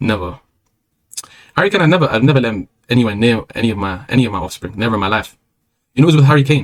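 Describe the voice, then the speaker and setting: Talking at a very fast pace, a man with a medium pitch and lively intonation breaks his speech with long, frequent pauses. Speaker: streamer. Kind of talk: casual monologue.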